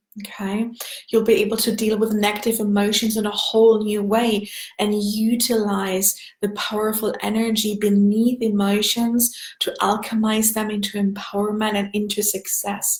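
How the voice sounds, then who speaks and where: Over noticeable background noise, a woman with a German accent speaks at a moderate pace and fairly high pitch in a monotone, flat intonation. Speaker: energy healing coach. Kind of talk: live stream sales pitch. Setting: Facebook live video.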